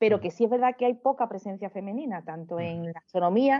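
An Andalusian accent with ordinary pitch variation. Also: woman. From Seville, Andalusia, Spain. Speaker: amateur astrophotographer. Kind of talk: casual interview conversation.

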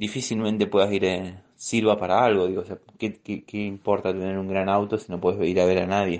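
Against a quiet background, a man talks at a fairly quick pace with a fairly low pitch and monotone, flat intonation. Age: 20s. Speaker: news program worker, image and sound designer. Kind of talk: voice messages, personal account.

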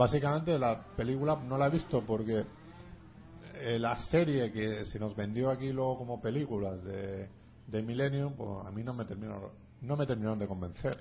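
Here is a man with an unremarkable speaking voice and medium pitch. He talks at a moderate pace with ordinary pitch variation. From Alicante, Spain. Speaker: film podcast host. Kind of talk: casual chat. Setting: studio.

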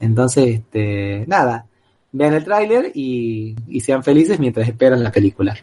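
A man with a dark, mellow tone speaks fairly slowly at a medium pitch, with lively intonation. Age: 40s. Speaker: radio co-host and collector. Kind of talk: casual chat. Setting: radio studio. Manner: repetitive stammering.

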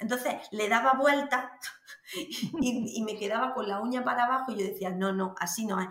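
A woman with a high voice speaks at a fairly slow pace with lively intonation, with audible room echo and noticeable background noise. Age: 30s. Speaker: vaginismus patient sharing her experience. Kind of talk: interview testimony. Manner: halting.

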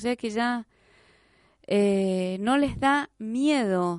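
In a dry, close recording with no echo and a quiet background, a woman speaks with ordinary pitch variation. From Argentina, Jáchal, San Juan. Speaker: radio host. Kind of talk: radio interview.

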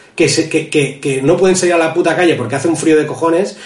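A man with a high pitch and ordinary pitch variation speaks amid noticeable background noise and audible room echo. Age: 30s. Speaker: podcast host. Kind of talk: casual chat.

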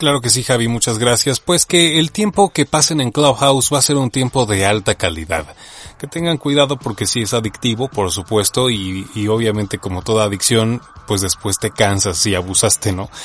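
In a normal speaking voice, a man of medium pitch talks at a moderate pace with lively intonation. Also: dry, close sound with no echo. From Mexico. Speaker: voice-over artist and audiobook narrator. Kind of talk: casual interview chat.

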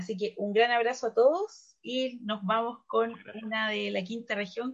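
A woman speaks in a plain, everyday voice at a fairly high pitch. Her pace is fairly slow and her intonation fairly even. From Valparaíso, Chile. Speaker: radio host. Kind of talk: casual radio chat.

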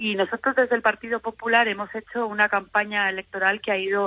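Her voice sits at a medium pitch. The woman keeps a moderate pace. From Valencia region, Spain (Alzira). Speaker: politician. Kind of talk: interview. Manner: halting, repeated words.

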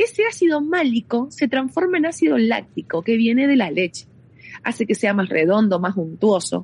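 A woman speaks at a fairly high pitch with very wide pitch swings. Her loudness stays very even at a moderate pace. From Argentina, Mendoza. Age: 30s. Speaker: winery tourism manager. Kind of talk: guided tour explanation. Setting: on location at a winery.

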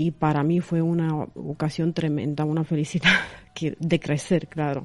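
A woman's fairly low voice with a Romanian accent, at a fairly slow pace. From Romania, Craiova. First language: Romanian (speaking Spanish). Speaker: reporter and influencer. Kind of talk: radio interview. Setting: studio. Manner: halting, filler-laden.

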